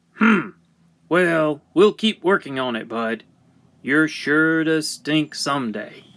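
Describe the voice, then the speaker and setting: Using a put-on character voice, a man talks at a fairly high pitch and a fairly slow pace. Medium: read story. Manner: loud, commanding.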